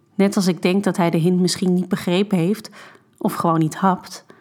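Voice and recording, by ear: Read aloud in a natural voice, the text carries a fairly even intonation.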